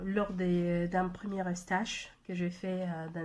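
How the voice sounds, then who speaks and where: In a Spanish accent, a woman speaks at a very slow pace with a dark, mellow tone at a medium pitch. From Mexico. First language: Spanish (speaking French). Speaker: language trainer and translator. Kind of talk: personal testimony video message. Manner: halting, many hesitations.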